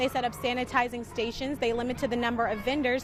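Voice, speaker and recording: Noticeable background noise beneath a woman's high voice. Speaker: multimedia journalist. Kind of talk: TV news report.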